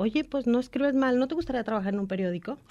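A woman speaks with a normal speaking voice. Her pitch is fairly high, with ordinary variation. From Guadalajara, Mexico. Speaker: radio news anchor and journalist. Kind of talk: casual radio interview.

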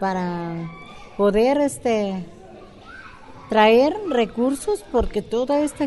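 Pausing long and often, a woman swings her pitch very widely against noticeable background noise. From Mexico, southern Jalisco. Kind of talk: interview.

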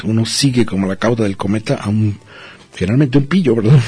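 A man speaks over noticeable background noise. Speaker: radio host. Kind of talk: casual chat.

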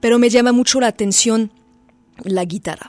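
A woman speaks with a French accent and fairly even intonation. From France. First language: French (speaking Spanish). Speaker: musician. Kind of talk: interview. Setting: radio studio. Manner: halting.

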